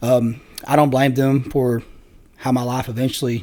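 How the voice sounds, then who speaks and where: In a southern Missouri accent, a man talks at a medium pitch with monotone, flat intonation. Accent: rural southern Missouri American. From US Midwest, Southeast Missouri. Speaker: Marine Corps veteran. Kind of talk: podcast interview, personal testimony. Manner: fast.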